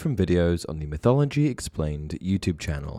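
A man's very deep, low voice, dark and mellow in tone, with very wide pitch swings and a fairly quick pace, in a dry, close sound with no echo. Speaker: mythology video narrator. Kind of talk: scripted documentary-style narration explaining mythology. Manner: formal, measured, steady explanatory delivery.

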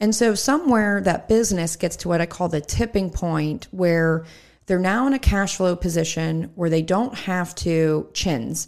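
In a very clean recording with a silent background, a woman with a plain, everyday voice talks at a fairly slow pace with a fairly low pitch and ordinary pitch variation. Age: 30s. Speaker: entrepreneur and financial advisor. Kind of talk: casual interview. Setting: studio.

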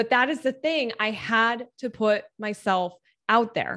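Against a quiet background, a woman talks at a fairly slow pace in a normal speaking voice with a fairly high pitch. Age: 30s. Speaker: business founder. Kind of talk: casual chat.

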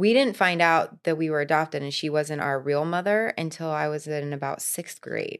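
A woman's very deep, low voice in an American accent, with hardly any pauses, on a very clean recording with a silent background. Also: ordinary pitch variation, moderate pace. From Florida. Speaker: fitness coach. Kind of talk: casual chat.

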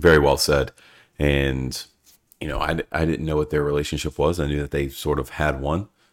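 A man speaks at a moderate pace in a very deep, low voice with monotone, flat intonation. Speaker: podcast host. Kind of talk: casual chat. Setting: video call.

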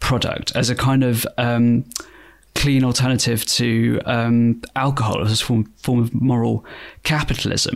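This man has a British accent and a medium pitch. He speaks at a fairly slow pace in a monotone, flat intonation. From Britain. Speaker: journalist and podcast co-host. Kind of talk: casual chat. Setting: remote recording.

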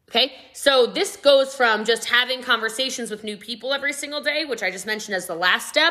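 Loud and energetic in tone, a woman talks very fast at a high pitch with hardly any pauses. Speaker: podcast host, network marketing trainer. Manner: fast talker; loud, energetic.

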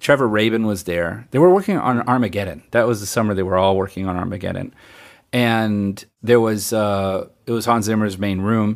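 Recorded very cleanly against a silent background, a man speaks at a moderate pace with a fairly low pitch and ordinary pitch variation. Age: 50s. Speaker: film and TV composer. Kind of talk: interview. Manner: casual.

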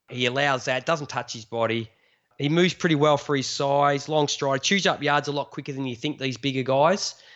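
An Australian accent at a fairly quick pace with fairly even intonation. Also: man, fairly high pitch for a man. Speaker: fantasy football podcaster. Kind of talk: casual chat.

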